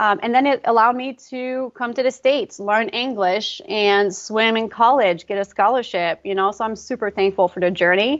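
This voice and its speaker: A woman in a Quebec accent, fairly high in pitch, at a moderate pace with hardly any pauses. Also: ordinary pitch variation. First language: French. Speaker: pre and postnatal fitness coach. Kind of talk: casual interview.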